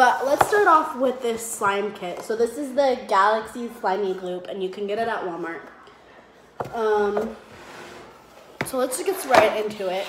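Against loud background noise, a woman speaks at a fairly slow pace with long, frequent pauses. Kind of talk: casual vlog chat. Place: home room. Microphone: phone near.

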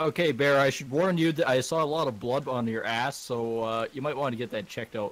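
A man talks in a plain, everyday voice at a medium pitch. His pace is fairly quick, with ordinary pitch variation. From Canada. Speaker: gaming streamer. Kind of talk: casual chat while gaming.

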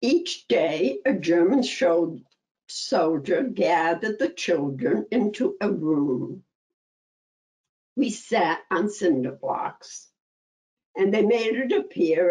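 Against a quiet background, a woman's dark, mellow voice swings very widely in pitch, with vocal fry throughout. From Antwerp, Belgium. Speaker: Holocaust survivor. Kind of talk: survivor testimony talk. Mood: calm, grave. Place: home room. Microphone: webcam.

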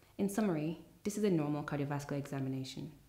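A woman speaks at a fairly quick pace in a very deep, low voice with a dark, mellow tone. Audible room echo surrounds her. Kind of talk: tutorial. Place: studio.

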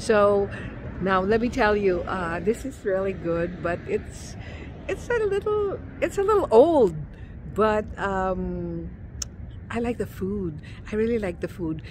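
A woman's very slow speech, dry with no echo, over light background noise. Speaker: food vlogger. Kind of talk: casual vlog chat. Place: street. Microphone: phone near.

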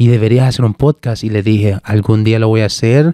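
A man's dark, mellow voice at a moderate pace, with fairly even intonation, dry sound with no echo, and a quiet background. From El Salvador, Cabañas; El Salvador. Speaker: podcast host, tech content creator. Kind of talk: casual interview chat. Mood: warm, grateful, relaxed. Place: studio. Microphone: studio mic.

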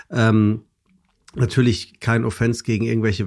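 At a moderate pace, a man talks in an ordinary speaking voice at a medium pitch, recorded very cleanly against a silent background. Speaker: presenter and podcaster. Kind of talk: casual chat.

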